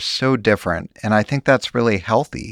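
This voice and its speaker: Music plays in the background as a man talks at a moderate pace and medium pitch with lively intonation, the sound dry and close with no echo. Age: 60s. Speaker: journalist. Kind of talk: interview.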